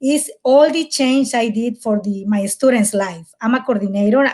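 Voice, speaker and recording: With a strong Mexican accent, a woman speaks at a fairly high pitch in an energetic tone, at a moderate pace with ordinary pitch variation. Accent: thick Mexican Spanish. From Mexico, Mérida, Yucatán. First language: Spanish. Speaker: college outreach coordinator. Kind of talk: webinar panel discussion. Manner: halting, energetic.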